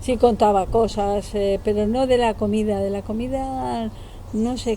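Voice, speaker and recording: Against noticeable background noise, a woman speaks slowly-ish at a medium pitch with fairly even intonation. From Basque Country (San Sebastián), from age eight; born in Málaga, family from Ceuta. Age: 70s. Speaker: interviewee recalling the postwar era. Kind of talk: casual interview. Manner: hesitant, with fillers.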